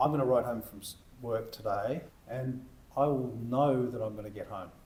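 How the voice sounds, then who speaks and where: A man's medium-pitched voice with fairly even intonation, big swings in loudness and audible room echo. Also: moderate pace. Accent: Australian. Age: 60s. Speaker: e-bike shop owner. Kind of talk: casual interview chat.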